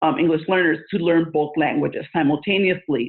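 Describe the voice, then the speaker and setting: A woman with a Spanish accent speaks at a fairly low pitch, varying it in an ordinary way. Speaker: school administrator and education consultant. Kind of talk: interview. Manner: many filler words.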